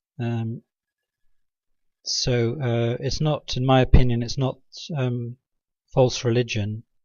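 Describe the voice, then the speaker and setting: The voice is quiet and moves at a very slow pace. Long pauses come frequently. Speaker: religious video blogger. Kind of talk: informal monologue presentation. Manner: halting, many fillers; drops volume, quiet. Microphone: mic adjusted nearer, may be quiet.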